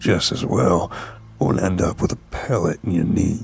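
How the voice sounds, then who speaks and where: A man's put-on character voice, very deep and low, creaky and raspy, at a moderate pace. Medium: read story. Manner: gruff, plainspoken.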